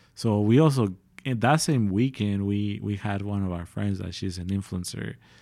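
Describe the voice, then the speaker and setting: On a very clean recording with a silent background, a man with an American accent speaks in a dark, mellow tone, his pitch varying in an ordinary way. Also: fairly low pitch for a man, moderate pace. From San Diego, California. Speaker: clothing brand co-founder. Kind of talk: podcast interview. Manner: casual, filler-heavy.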